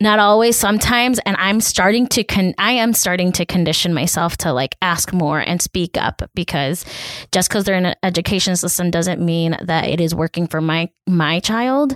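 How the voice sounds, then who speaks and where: This woman has a normal speaking voice, medium in pitch, delivered at a moderate pace. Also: dry, close sound with no echo, very clean recording, silent background. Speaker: podcast co-host. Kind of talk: casual chat.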